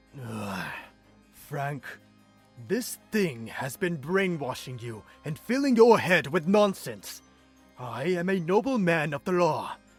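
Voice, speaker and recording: A put-on character voice at a fairly slow pace, with long, frequent pauses and faint music in the background. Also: man, high pitch for a man. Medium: audio drama. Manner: irritated, dismissive.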